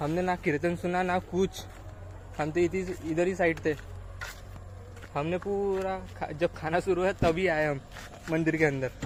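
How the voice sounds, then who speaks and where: Long, frequent pauses break up this man's speech. His pitch is high and his intonation monotone and flat. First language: Marathi (speaking Hindi). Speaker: vlogger. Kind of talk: travel vlog. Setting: outdoors. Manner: casual.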